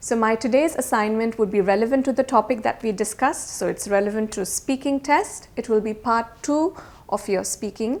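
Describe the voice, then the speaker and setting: A woman speaks at a moderate pace with hardly any pauses. Her pitch is fairly high, with ordinary pitch variation. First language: not English. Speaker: IELTS teacher. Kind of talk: tutorial. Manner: casual.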